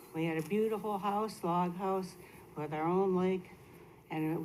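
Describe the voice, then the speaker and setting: Fairly slow female voice at a medium pitch, fairly even in intonation, with audible room echo. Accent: American. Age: 70s. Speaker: resident speaking at public comment. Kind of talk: public comment. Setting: city council meeting.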